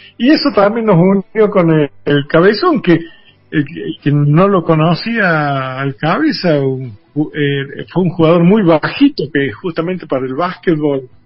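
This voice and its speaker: A man speaks at a fairly slow pace in a high voice with lively intonation, with music playing in the background. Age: 60s. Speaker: journalist and former basketball player, museum director. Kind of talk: radio interview. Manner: hesitant, many fillers.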